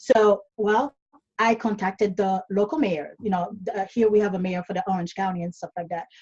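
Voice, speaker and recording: Somewhat breathy, a woman speaks at a medium pitch and a moderate pace. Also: ordinary pitch variation. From Caribbean, Dominica. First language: not English (English is fifth language). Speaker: online business coach. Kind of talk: podcast interview.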